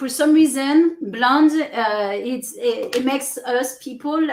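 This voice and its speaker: In a French accent, a woman with a high pitch speaks with very wide pitch swings. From France. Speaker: business coach. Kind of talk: interview.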